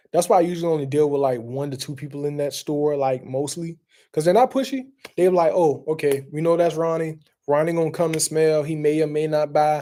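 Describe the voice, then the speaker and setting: This man speaks in a Southern US accent with a dark, mellow tone and fairly high pitch. His pace is fairly quick, his pitch variation ordinary, and the recording very clean with a silent background. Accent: Southern country. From US South, South Carolina. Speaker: fragrance reviewer. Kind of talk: casual chat. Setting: live stream. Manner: casual, rambling with fillers.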